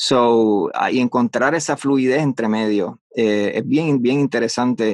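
A plain, everyday voice from a man at medium pitch and a fairly slow pace, dry and close with no echo. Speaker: voice-over artist. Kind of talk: interview.

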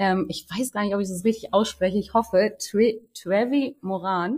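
The very clean recording with a silent background captures a woman's fairly high, somewhat breathy voice at a moderate pace with ordinary pitch variation. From Berlin. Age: 30s. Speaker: community manager. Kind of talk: casual chat.

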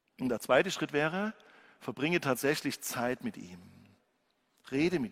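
A man's fairly high voice with vocal fry, very wide pitch swings, big swings in loudness, a moderate pace broken by long, frequent pauses, and a dry, close sound with no echo. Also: very clean recording, silent background. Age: 50s. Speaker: pastor. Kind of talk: sermon.

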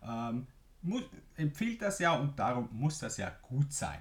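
A man talks at a fairly slow pace. His voice is somewhat breathy. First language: Swiss German (speaking German). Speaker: business podcast host, marketing coach. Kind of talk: solo podcast explainer.

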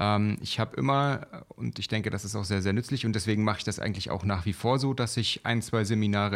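A normal speaking voice from a man, fairly low in pitch, with ordinary pitch variation at a moderate pace, on a very clean recording with a silent background. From eastern Germany (former GDR). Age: 30s. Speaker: trading educator, podcast co-host. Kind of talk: casual chat.

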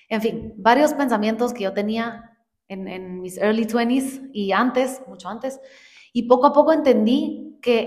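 At a fairly slow pace, a woman speaks with a fairly high pitch and ordinary pitch variation amid audible room echo. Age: 20s. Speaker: podcast co-host. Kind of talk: casual chat.

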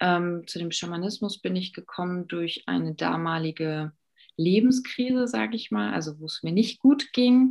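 A woman speaks at a fairly low pitch, her loudness swinging widely. Her pitch rises and falls across a very wide range. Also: moderate pace. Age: 30s. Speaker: life coach and shamanic practitioner. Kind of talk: podcast interview.

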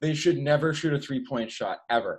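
An ordinary speaking voice with an American accent at a moderate pace. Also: man. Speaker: musician and college student. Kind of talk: casual chat.

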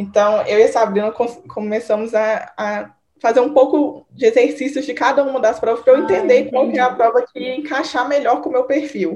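The speaker uses ordinary pitch variation and hardly any pauses. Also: woman, high pitch for a woman. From Minas Gerais, Brazil (Divinópolis). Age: 20s. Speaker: medical student. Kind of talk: casual interview. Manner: fast.

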